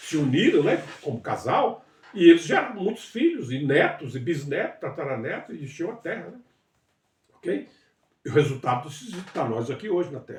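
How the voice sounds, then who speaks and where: A man's voice swings very widely in pitch while he keeps a moderate pace. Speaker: bible teacher. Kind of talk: livestream bible study. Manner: halting.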